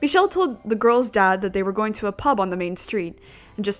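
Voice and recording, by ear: Natural-voiced reading aloud with a lively, bouncing intonation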